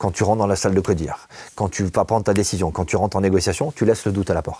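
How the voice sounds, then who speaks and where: The recording is very clean, with a silent background. A man talks at a very fast pace. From southwestern France. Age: 50s. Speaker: negotiation expert, former police negotiator. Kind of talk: interview.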